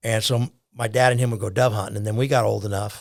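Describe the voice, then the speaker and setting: Somewhat breathy, a man with an American accent at a medium pitch and fairly quick pace, on a very clean recording with a silent background. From US West Coast, Orange County, California. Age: 70s. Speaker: conservation volunteer and duck hunter. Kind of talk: casual podcast interview. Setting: studio.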